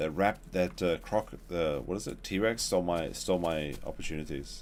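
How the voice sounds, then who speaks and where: A man speaks at a moderate pace in a very deep, low voice with vocal fry. His pitch varies in an ordinary way. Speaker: gaming streamer. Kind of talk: live stream commentary. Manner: slurred speech.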